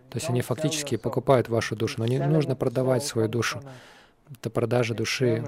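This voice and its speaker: Fairly quick and fairly even in intonation, a man talks in an ordinary speaking voice at medium pitch. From Western country. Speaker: Hare Krishna monk (sannyasi) teacher. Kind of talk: lecture. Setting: lecture hall with audience.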